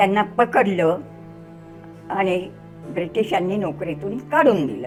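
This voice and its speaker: A woman's voice with music in the background. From Akola district, Maharashtra, India. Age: 80s+. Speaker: freedom fighter. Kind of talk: interview answer.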